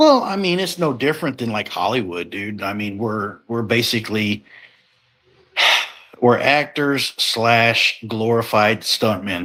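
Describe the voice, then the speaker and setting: A man with a plain, everyday voice at medium pitch, lively intonation and a fairly slow pace. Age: 40s. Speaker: professional wrestler. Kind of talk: casual chat. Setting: live podcast.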